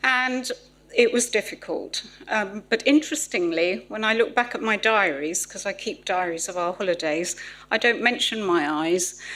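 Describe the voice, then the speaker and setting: A woman's fairly high, bright, sharp voice with a southern English accent. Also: lively intonation, moderate pace. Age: 60s. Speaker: patient speaker. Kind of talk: testimony.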